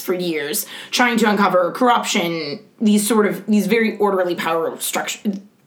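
A woman with a medium pitch and ordinary pitch variation speaks at a moderate pace against noticeable background noise. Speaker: podcast co-host. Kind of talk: casual political chat podcast.

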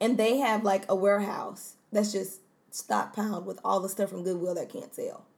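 A woman with vocal fry, at a moderate pace and with fairly even intonation. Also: medium pitch for a woman. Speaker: podcast co-host. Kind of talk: casual chat.

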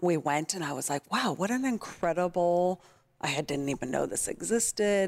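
Speaking in a Californian accent, a woman has a fairly low pitch and lively intonation at a moderate pace. The recording is very clean, with a silent background. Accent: American (Californian). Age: 30s. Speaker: nonprofit kindness project founder. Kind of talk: casual interview.

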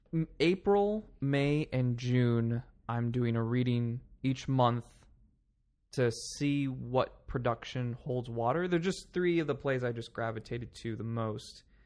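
A plain, everyday voice from a man with an American accent, medium in pitch and fairly slow in pace, over a quiet background. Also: ordinary pitch variation. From Palm Springs, California. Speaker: theatre director. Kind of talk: casual interview chat.

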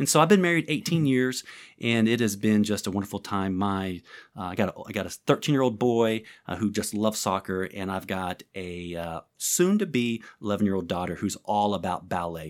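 On a very clean recording with a silent background, a man speaks at a fairly low pitch. He keeps a moderate pace with lively intonation. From southern Illinois. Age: 40s. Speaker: pastor and prayer ministry leader. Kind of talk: interview conversation. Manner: animated.

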